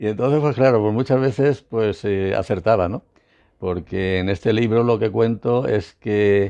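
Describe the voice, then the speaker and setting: Fairly low, dark, mellow male voice at a fairly slow pace, ordinary pitch variation, quiet background. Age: 70s. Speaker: former intelligence agent and author. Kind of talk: interview.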